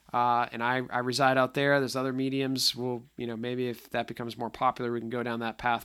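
A man's bright, sharp voice at medium pitch, on a very clean recording with a silent background. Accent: slight Boston. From Boston area, US Northeast. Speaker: podcast host, tech solutions executive. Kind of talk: casual solo podcast monologue. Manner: filler-heavy, conversational.

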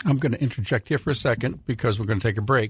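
A somewhat breathy male voice, dry and close with no echo, against a quiet background. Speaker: radio host. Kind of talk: radio hosting. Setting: studio.

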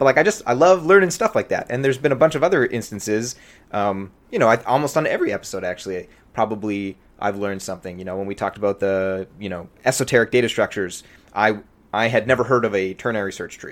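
With big swings in loudness, a man at medium pitch talks at a very fast pace, his intonation lively and his tone animated. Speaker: podcast host, C++ programmer. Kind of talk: casual chat. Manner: excitable, animated; fast with frequent fillers and restarts.

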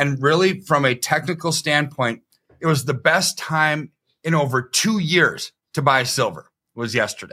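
The speaker is a man with a bright, sharp tone. His pitch is fairly high. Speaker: economist and precious metals advisor. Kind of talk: casual interview. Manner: calm, even-keeled.

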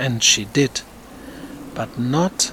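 Over noticeable background noise, a man with a medium pitch speaks at a very slow pace with ordinary pitch variation. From Germany. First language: German. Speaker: theater director and podcast host. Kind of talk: scripted narration.

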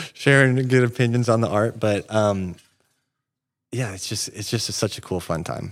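A man with an American accent and a plain, everyday voice, fairly low in pitch with ordinary pitch variation, at a moderate pace in a very clean recording with a silent background. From Northern California, Siskiyou County. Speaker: tourism marketing director. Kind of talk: interview.

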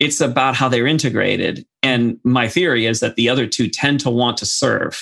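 A man speaks at a medium pitch and a moderate pace, with a bright, sharp tone. His intonation stays fairly even, his loudness is very even, and he hardly pauses. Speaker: podcast host. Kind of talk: panel discussion, casual conversation.

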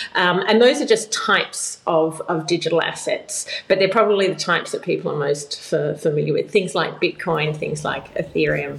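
A woman speaks at a moderate pace with an Australian accent and hardly any pauses. Noticeable background noise is present. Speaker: blockchain policy expert. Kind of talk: interview.

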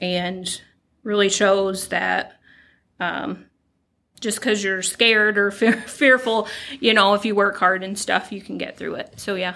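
On a very clean recording with a silent background, a woman with a bright, sharp tone speaks at a medium pitch with fairly even intonation, long, frequent pauses and big swings in loudness. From Kentucky. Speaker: Marine veteran and utility field supervisor. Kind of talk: casual interview.

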